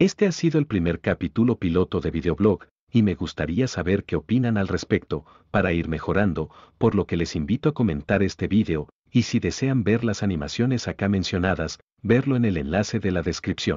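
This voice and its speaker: With an ordinary speaking voice, a man talks fairly quickly at a fairly low pitch and with lively intonation. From Guatemala, Jutiapa. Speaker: animator and vlogger, architect. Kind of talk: scripted narration.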